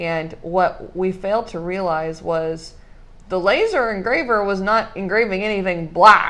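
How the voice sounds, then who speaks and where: A woman speaks at a fairly slow pace in a normal speaking voice. Her pitch is medium, with ordinary pitch variation. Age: 20s. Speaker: podcast host, small business owner. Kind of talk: casual chat.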